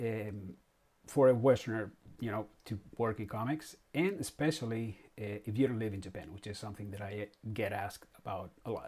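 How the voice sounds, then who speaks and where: With a Spanish accent, a man speaks at a moderate pace in a fairly low, somewhat breathy voice, his pitch varying in ordinary ways while his loudness swings widely. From Spain. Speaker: comic artist. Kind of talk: live stream monologue. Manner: halting, many fillers.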